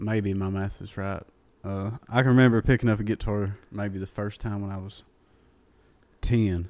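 A man speaks at a moderate pace with fairly low pitch and a dark, mellow tone in monotone, flat intonation. The recording is very clean, with a silent background. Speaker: country singer. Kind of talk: casual chat. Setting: apartment.

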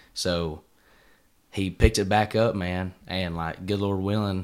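In a very clean recording with a silent background, a man with an Appalachian accent speaks with a very deep, low pitch and monotone, flat intonation. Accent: Southern US (Appalachian). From East Tennessee. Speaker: country singer-songwriter. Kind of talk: casual interview.

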